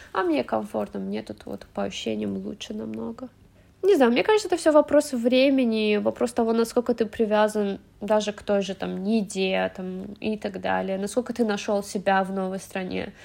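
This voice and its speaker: Big swings in loudness at a moderate pace. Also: woman. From Azerbaijan, Baku. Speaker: immigrant guest. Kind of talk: casual chat.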